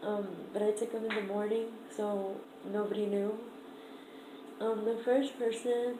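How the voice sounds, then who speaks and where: A woman with a fairly high, shaky voice talks at a fairly slow pace in monotone, flat intonation, with long, frequent pauses, audible room echo and noticeable background noise. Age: 20s. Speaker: vlogger. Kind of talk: casual vlog. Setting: at home, downstairs room. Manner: hesitant, many fillers.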